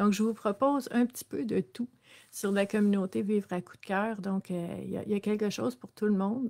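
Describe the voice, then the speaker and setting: A woman's dark, mellow voice with a Quebec accent, fairly even intonation and big swings in loudness. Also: moderate pace, quiet background. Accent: Québécois French. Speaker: social worker and wellness livestream host; personal growth coach. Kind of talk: live-streamed self-development talk. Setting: live stream with viewer comments. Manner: hesitant, many fillers. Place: home room. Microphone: webcam.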